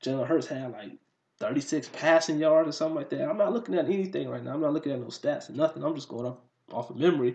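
Talking at a very fast pace, a man swings widely in loudness. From Detroit, Michigan. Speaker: podcast host. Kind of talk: casual sports talk monologue. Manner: animated; pausing.

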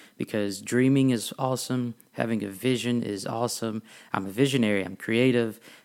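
This man talks at a moderate pace with a medium pitch and fairly even intonation. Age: 20s. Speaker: podcast host. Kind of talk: personal monologue. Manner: frequent filler words.

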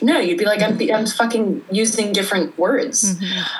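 A medium-pitched woman's voice in an American accent, with ordinary pitch variation over noticeable background noise. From Sweden and North Carolina. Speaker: journalist and artist. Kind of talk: casual interview. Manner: animated, laughs often.

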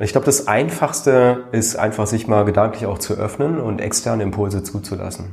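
Audible room echo surrounds a man talking at a fairly quick pace with a fairly low pitch and a somewhat breathy sound. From Germany. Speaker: serial founder and investor. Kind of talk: interview.

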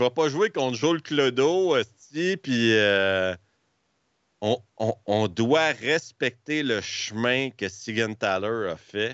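A man at a very slow pace, medium pitch, lively intonation and very even loudness. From Quebec, Montreal area. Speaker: hockey streamer. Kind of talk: casual chat.

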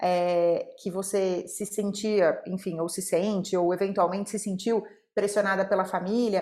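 Her voice is a medium pitch with a dark, mellow tone at a fairly slow pace. This woman is heard on a very clean recording with a silent background. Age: 30s. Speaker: podcast host, mother. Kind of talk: casual chat. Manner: animated.

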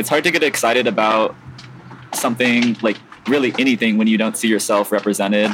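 A man talks very fast at a medium pitch, his loudness very even and his intonation fairly even. Noticeable background noise runs underneath. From US West Coast, San Diego. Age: 20s. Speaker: skateboarder. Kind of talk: casual interview. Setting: outdoors at a skate park. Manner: hesitant, many fillers.

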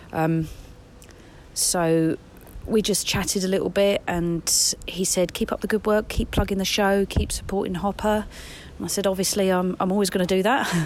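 A woman's monotone, flat delivery at medium pitch, with an English accent. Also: moderate pace. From England.

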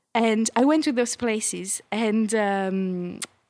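A woman at a medium pitch, with a French accent. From France. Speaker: TV producer. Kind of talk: casual interview.

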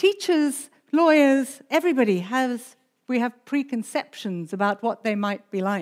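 In a very clean recording with a silent background, a woman speaks at a fairly slow pace. Her high voice makes very wide pitch swings. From South Africa. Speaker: pastor. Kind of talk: sermon. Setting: church.

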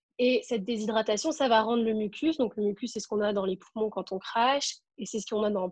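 A somewhat breathy woman at a fairly high pitch and moderate pace, with ordinary pitch variation, over a quiet background. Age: 20s. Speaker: medical student with cystic fibrosis. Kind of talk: interview.

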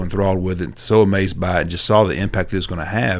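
On a very clean recording with a silent background, a man with a Southern US accent and a very deep, low pitch talks at a very fast pace with fairly even intonation. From Georgia small towns. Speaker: real estate agent. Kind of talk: casual interview.

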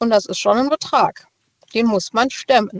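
The speaker has an ordinary speaking voice, with pitch that varies in an ordinary way. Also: woman. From Rastatt, Baden. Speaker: caller, notary office clerk. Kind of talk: casual phone chat. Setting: phone call.

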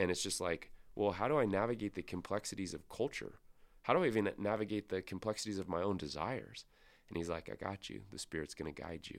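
Recorded very cleanly with a silent background, a man with a Pacific Northwest accent talks at a very fast pace, fairly low in pitch, with vocal fry and ordinary pitch variation. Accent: American (Pacific Northwest). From US Pacific Northwest, Spokane, Washington. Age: 30s. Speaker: pastor. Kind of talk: podcast interview. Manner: casual, with filler words.

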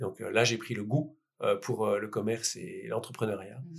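A man talks at a moderate pace in a plain, everyday voice. His pitch sits in the medium range, with ordinary pitch variation. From Belgium, Liège. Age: 40s. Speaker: entrepreneur. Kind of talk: interview. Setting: in person recording.

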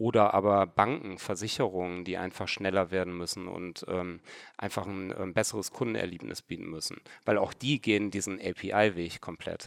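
A man's very deep, low voice at a moderate pace with ordinary pitch variation, in a very clean recording with a silent background. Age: 30s. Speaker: e-commerce startup founder and CEO. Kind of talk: interview. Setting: record listening room in Hamburg.

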